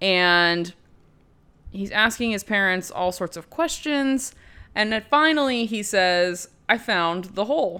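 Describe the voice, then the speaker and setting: The pace is fairly slow. This voice has a bright, sharp tone. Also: woman, medium pitch for a woman, very clean recording, silent background. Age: 20s. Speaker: podcast host, film reviewer. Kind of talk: solo movie recap podcast. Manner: casual, rambling with filler words.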